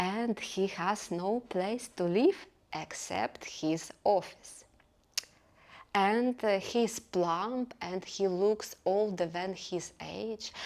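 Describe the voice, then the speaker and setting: In a non-native accent, a woman speaks at a very slow pace. Her medium-pitched voice keeps fairly even intonation. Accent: noticeable foreign. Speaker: book reviewer. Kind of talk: casual book review. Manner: hesitant, many fillers.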